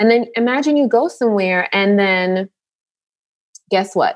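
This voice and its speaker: Using an ordinary speaking voice, a woman with an American accent talks at a moderate pace with ordinary pitch variation. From New York, Jamaican family. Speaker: nurse and author. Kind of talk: casual chat.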